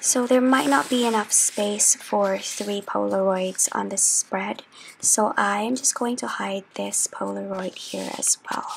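Soft-spoken and at a fairly slow pace, a woman talks against noticeable background noise. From Philippines. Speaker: journaling YouTuber. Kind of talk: chatty ASMR craft tutorial.

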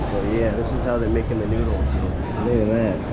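Music plays behind a man as he talks. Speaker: walking tour vlogger. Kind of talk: casual vlog chat. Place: hall. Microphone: phone near.

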